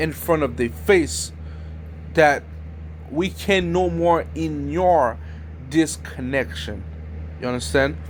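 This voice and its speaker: A man's very slow delivery, full of long, frequent pauses, with audible room echo. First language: French. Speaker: YouTuber. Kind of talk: informal video talk. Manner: halting.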